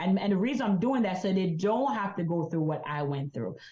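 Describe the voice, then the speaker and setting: A woman with a Jamaican accent, medium pitch, a somewhat breathy quality and lively intonation. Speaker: insurance agent and business coach. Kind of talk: interview.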